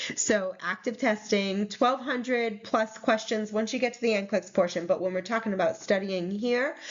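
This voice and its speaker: A woman with a New England accent, at a moderate pace with ordinary pitch variation. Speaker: nursing exam tutor. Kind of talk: recorded slide presentation. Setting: recorded presentation video. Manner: casual with fillers.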